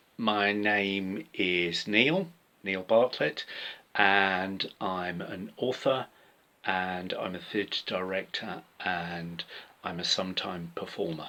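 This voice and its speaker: A man's very deep, low voice with a British accent, bright and sharp in tone, at a very slow pace with fairly even intonation. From UK. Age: 60s. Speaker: author and theatre director. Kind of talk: pre-recorded personal talk. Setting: home workspace.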